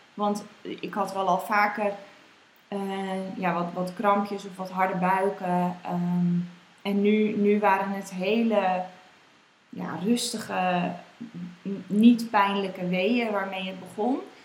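Over noticeable background noise and audible room echo, a woman at a medium pitch talks at a very slow pace in a monotone, flat delivery, with long, frequent pauses and big swings in loudness. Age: 20s. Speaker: mother sharing birth story. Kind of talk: interview testimony. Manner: hesitant, many fillers.

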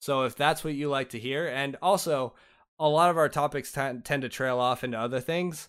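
This is a man with an unremarkable speaking voice. He talks at a moderate pace with fairly even intonation. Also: fairly high pitch for a man, very clean recording, silent background. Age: 20s. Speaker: gaming podcast host. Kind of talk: casual chat.

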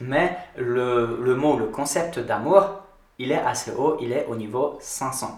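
At a very slow pace and with ordinary pitch variation, the speech carries audible room echo and noticeable background noise. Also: man, medium pitch for a man. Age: 30s. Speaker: yoga podcast guest discussing consciousness. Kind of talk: casual chat. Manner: halting, frequent hesitations.

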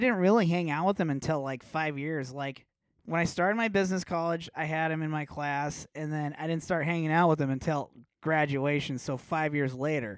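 Recorded very cleanly against a silent background, a man with an American accent speaks at a moderate pace in an unremarkable speaking voice, fairly high-pitched for a man, with ordinary pitch variation. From Nebraska, Omaha. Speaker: metal guitarist. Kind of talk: casual chat.

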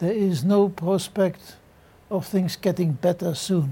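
Speaking very slowly with a German accent, a man uses a high pitch and fairly even intonation. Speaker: retired general. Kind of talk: panel discussion. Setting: studio.

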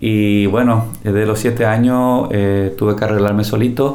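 Speaking with a Paraguayan accent and fairly even intonation, a man is heard over noticeable background noise and audible room echo. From Paraguay, Cordillera department. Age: 60s. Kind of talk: testimony.

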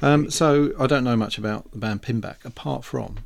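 With an unremarkable speaking voice, a man talks at a moderate pace in a medium pitch. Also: very clean recording, silent background. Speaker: radio host. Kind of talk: radio DJ patter, casual chat between tracks. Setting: studio. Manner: chatty, rambling, easygoing banter with co-host.

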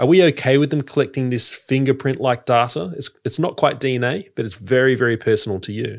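In a very clean recording with a silent background, someone with an Australian accent talks at a fairly quick pace with hardly any pauses and ordinary pitch variation. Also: man, medium pitch for a man. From Sydney, Australia. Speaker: podcaster. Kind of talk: casual chat.

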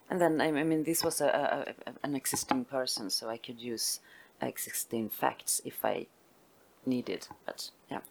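Over noticeable background noise, a woman speaks fairly slowly with lively intonation in a Swedish accent. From northern Sweden (Västerbotten). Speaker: literary translator and publisher. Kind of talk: onstage literary conversation. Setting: stage with audience. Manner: halting.

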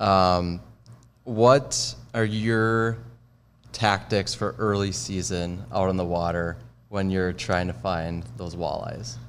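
A man with an Upper Midwest accent speaks in a very deep, low pitch. His pace is very slow and his intonation lively. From Minnesota. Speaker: social media staffer. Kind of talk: interview questions. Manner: casual.

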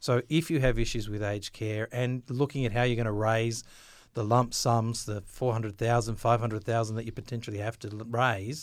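A man with an Australian accent talks at a fairly quick pace and medium pitch. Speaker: government financial information officer. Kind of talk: interview.

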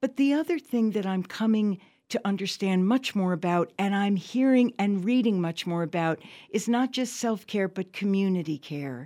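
Her tone is dark and mellow, with a medium pitch. This woman keeps a moderate pace and lively intonation. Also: very clean recording, silent background. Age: 70s. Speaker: reverend and peace activist, school founder. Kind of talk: radio interview. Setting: radio studio.

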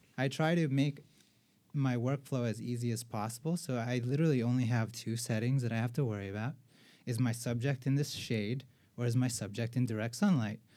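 A dark, mellow tone at a fairly quick pace, with fairly even intonation and a very clean recording over a silent background. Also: man, medium pitch for a man. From Filipino heritage. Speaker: street photographer. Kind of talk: casual chat.

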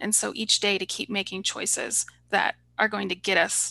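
With an American accent, a woman speaks at a moderate pace in a bright, sharp tone with vocal fry and ordinary pitch variation, set against a quiet background. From Oklahoma, US. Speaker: holistic pharmacist. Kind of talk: interview.

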